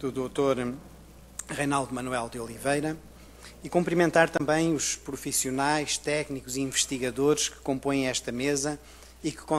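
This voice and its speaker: A man at a moderate pace, fairly high in pitch, with fairly even intonation. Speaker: university researcher. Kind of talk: conference presentation.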